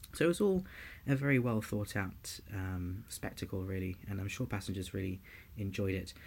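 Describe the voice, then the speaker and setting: Somewhat breathy, a man with a London accent speaks at a moderate pace, with a fairly low pitch and ordinary pitch variation. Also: very clean recording, silent background. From London, England. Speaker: podcast host and student pilot. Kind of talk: scripted presenting.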